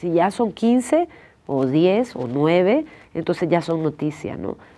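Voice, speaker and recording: The voice has a dark, mellow tone and moves at a very slow pace, with very wide pitch swings. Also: woman. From El Salvador. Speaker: documentary filmmaker; interview guest. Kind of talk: interview. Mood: earnest, serious. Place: studio.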